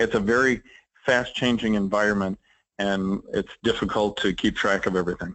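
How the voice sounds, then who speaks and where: With an ordinary speaking voice, a man speaks at a moderate pace with fairly low pitch, fairly even intonation, and very even loudness. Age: 60s. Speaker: trade association executive. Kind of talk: interview.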